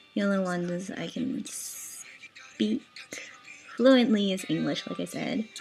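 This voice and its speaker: Over music in the background, the speaker goes at a very slow pace. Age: 20s. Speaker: blog admin answering follower questions. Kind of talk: casual Q&A vlog. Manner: casual, chatty.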